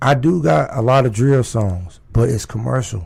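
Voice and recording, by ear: A raspy man's voice at medium pitch, slightly mellow with a slightly husky edge and vocal fry, lively in intonation, at a moderate pace.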